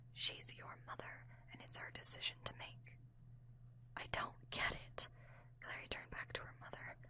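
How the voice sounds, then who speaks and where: Whispering at a moderate pace, a woman speaks. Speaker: ASMR audiobook reader. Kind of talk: ASMR audiobook reading. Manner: whispered, soft.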